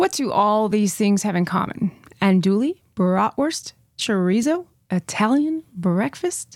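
On a very clean, dry and close recording with a silent background and no echo, a woman speaks at a fairly slow pace with very wide pitch swings and very even loudness. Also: medium pitch for a woman. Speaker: podcast co-host. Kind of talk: casual chat.

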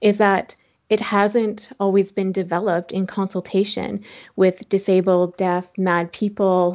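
A woman with an unremarkable speaking voice talks at a fairly slow pace and a medium pitch against a quiet background. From Saskatchewan, Canada. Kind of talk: casual interview.

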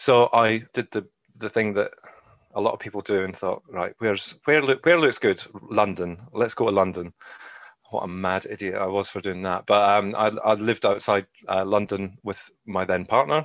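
Recorded with a dry, close sound and no echo, a man speaks at a fairly low pitch in a Scottish accent. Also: ordinary pitch variation, moderate pace. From Scotland. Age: 40s. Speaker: adoptive parent. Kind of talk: interview.

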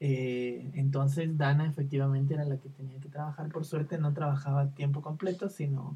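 A man talks at a fairly quick pace with a fairly high pitch. His voice is somewhat breathy, with a dark, mellow tone. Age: 20s. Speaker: psychologist. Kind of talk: casual chat.

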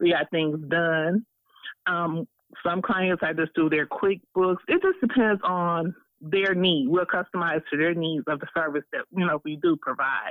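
An American-accented woman has an unremarkable speaking voice and a fairly low pitch. She speaks at a fairly slow pace with ordinary pitch variation. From Alabama, then Detroit from age 10. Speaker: business owner. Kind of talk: interview.

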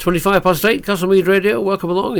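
A man is speaking. Noticeable noise can be heard behind him. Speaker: hospital radio presenter. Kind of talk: radio DJ patter on a hospital radio music show. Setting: radio studio. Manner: friendly, conversational, direct address to listeners.

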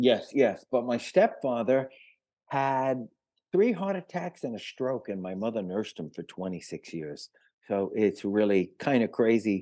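A man of medium pitch and dark, mellow tone speaks at a fairly slow pace, showing very wide pitch swings and big swings in loudness. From New York City, the Bronx. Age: 70s. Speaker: rock guitarist. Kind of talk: interview. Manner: halting.

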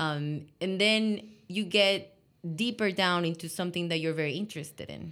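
Recorded very cleanly against a silent background, a woman with a normal speaking voice talks at a moderate pace, her pitch fairly low for a woman and her pitch variation ordinary. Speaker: innovation consultant. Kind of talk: casual interview conversation.

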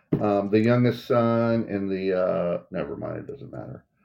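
This man has an ordinary speaking voice and a medium pitch, and he talks at a fairly slow pace. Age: 50s. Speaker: podcast co-host. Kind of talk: casual chat.

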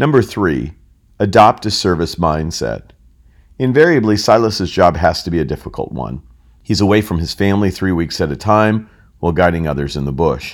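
A man with an American accent speaks at a moderate pace in a very deep, low pitch with vocal fry. His intonation is lively, and the recording is very clean with a silent background. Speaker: customer experience consultant. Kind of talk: scripted narration. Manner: formal.

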